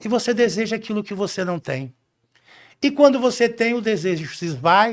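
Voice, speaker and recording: On a very clean recording with a silent background, a man speaks at a high pitch with lively intonation. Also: moderate pace. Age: 60s. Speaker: podcast guest, leadership speaker. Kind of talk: casual interview chat.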